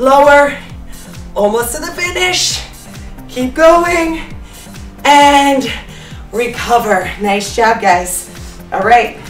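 Faint music plays in the background as a woman speaks very slowly in a high pitch, with long, frequent pauses, big swings in loudness, and audible room echo. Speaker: fitness instructor. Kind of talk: workout instruction cues. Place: studio.

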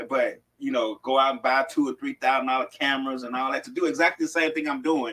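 The voice has a bright, sharp tone and fairly even intonation, delivered at a very fast pace against a quiet background. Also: man, fairly high pitch for a man. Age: 50s. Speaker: co-host. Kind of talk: casual chat. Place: studio.

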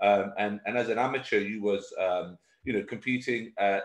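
In a room with audible echo but a quiet background, a man speaks with a British accent. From UK. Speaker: podcast host and coach. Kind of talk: casual interview. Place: office. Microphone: video call.

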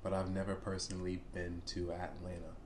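A man at a moderate pace with light background noise. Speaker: reaction video host. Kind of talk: casual reaction commentary. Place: home room.

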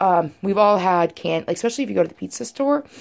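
Lively intonation over light background noise. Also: woman. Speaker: home cook vlogger. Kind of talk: casual vlog chat. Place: kitchen. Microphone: phone near.

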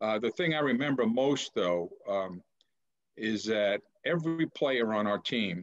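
Over a quiet background, a man speaks at a very slow pace with lively intonation. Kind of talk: interview answer. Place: home room. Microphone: video call.

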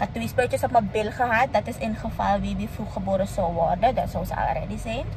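A woman at a fairly quick pace, in a dry sound with no echo, with music in the background. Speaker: vlogger. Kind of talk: casual vlog chat. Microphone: phone near.

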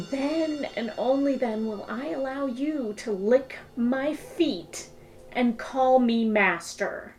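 A woman speaks with a high pitch and ordinary pitch variation. Her pace is very slow. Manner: furious shouting, then cold menace.

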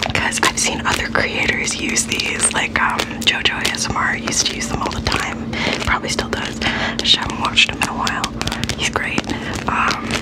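Speech at a moderate pace over loud background noise. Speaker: ASMR creator. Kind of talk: soft-spoken ASMR intro chat. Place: home room. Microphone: studio mic.

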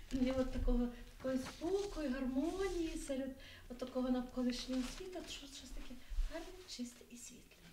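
A woman with a high voice talks at a moderate pace with ordinary pitch variation, big swings in loudness and long, frequent pauses. Audible room echo and light background noise surround her. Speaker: event organizer. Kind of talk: public event speech. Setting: library event with audience. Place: hall.

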